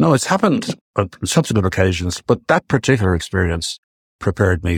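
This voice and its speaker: The somewhat breathy voice moves at a very fast pace. The recording is very clean, dry and close, with a silent background and no echo. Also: man. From West Cork, Ireland. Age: 70s. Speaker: aircraft leasing executive and former diplomat. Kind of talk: interview.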